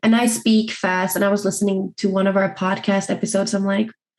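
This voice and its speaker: A somewhat breathy voice at a fairly quick pace. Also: woman. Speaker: podcast co-host. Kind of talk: casual chat. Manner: fast; mumbling.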